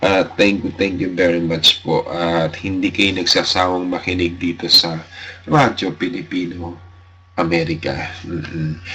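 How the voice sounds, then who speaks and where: A man's very deep, low voice at a fairly slow pace, with fairly even intonation. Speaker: radio host. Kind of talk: radio show sign-off chat. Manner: halting.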